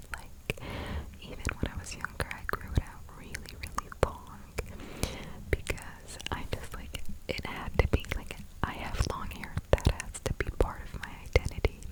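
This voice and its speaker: A woman whispers in a breathy voice at a fairly slow pace. Her loudness swings widely, and background noise is noticeable. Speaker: ASMR content creator. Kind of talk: whispered ASMR ramble. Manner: whispered, soft, breathy.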